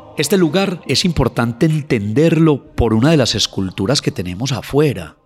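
With music in the background, a man speaks at a moderate pace, his pitch swinging very widely. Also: hardly any pauses. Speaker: anthropologist. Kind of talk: interview, storytelling about local history.

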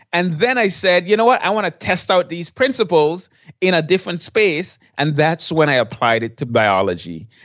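The man speaks at a high pitch with very wide pitch swings. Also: moderate pace. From Saint Martin. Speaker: blogger and former teacher. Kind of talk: interview.

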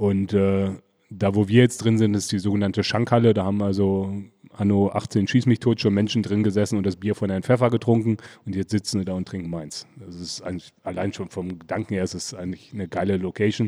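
This man talks at a fairly quick pace with a dark, mellow tone and a fairly low pitch. His intonation is fairly even, and the recording is very clean with a silent background. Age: 40s. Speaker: brewer. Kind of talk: casual interview. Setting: beer festival.

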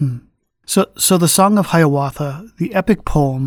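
A man's fairly high voice, an unremarkable speaking voice at a moderate pace, in a very clean recording with a silent background. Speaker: podcast host. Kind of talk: interview.

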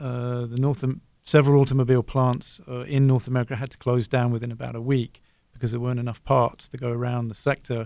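This man speaks very fast in an English accent, his medium pitch held in monotone, flat intonation. His tone is dark and mellow. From southern England, Brighton. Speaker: economics professor. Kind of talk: radio panel discussion.

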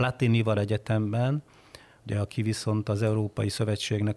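This man's voice sits fairly low, with a dark, mellow tone and a somewhat breathy quality. The sound is dry and close, with no echo. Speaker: foreign affairs journalist. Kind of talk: casual chat.

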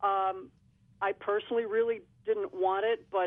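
A woman speaks in a normal speaking voice at a moderate pace with ordinary pitch variation. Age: 50s. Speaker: radio caller. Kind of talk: phone-in question. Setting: phone call.

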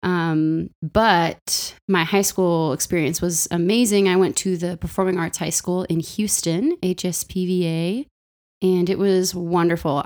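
With an American accent, the speaker holds a monotone, flat intonation at a moderate pace on a very clean recording with a silent background. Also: woman. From Los Angeles, US. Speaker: singer and music educator. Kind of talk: casual interview conversation. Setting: home office, in person.

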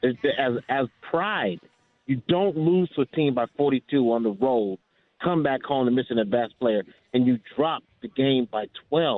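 A man speaks at a medium pitch with an American accent. His pace is fairly slow and his intonation lively. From Inglewood, Los Angeles. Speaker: caller. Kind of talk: fan call-in, casual opinion. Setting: phone call. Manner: halting, repeats words.

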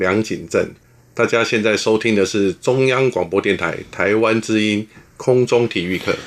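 A man with a normal speaking voice and medium pitch talks at a fairly slow pace, his intonation fairly even, against a quiet background. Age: 50s. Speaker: former naval academy volleyball player. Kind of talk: interview.

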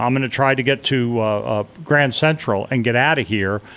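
Intonation is lively throughout. The recording is very clean, with a silent background. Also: man. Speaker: marine veteran, 9/11 witness. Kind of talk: testimony. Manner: loud.

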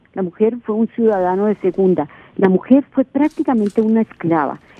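Delivery comes at a moderate speed. Pitch rises and falls very widely. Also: woman. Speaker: writer and historian. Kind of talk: radio interview. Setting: radio studio.

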